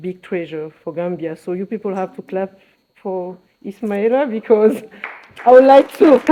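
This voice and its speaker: Someone speaks with a French accent. The pace is moderate. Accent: French-speaker accent in English. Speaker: fashion accessories designer. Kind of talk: press conference speech. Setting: press conference. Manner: hesitant, many fillers.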